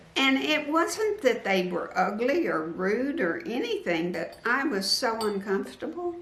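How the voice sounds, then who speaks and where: A woman at a very slow pace with very wide pitch swings, amid noticeable background noise and audible room echo. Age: 70s. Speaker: quilting YouTuber. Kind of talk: interview. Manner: halting.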